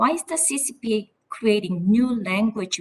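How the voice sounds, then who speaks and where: A somewhat breathy woman speaks in a Korean accent. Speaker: politician. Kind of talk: congressional hearing questioning.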